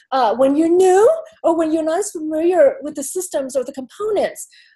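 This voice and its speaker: Her intonation lively, a woman talks at a moderate pace with an extremely high pitch and a dark, mellow tone. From Asia. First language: not English. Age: middle-aged. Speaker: tech industry panelist. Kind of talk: panel discussion.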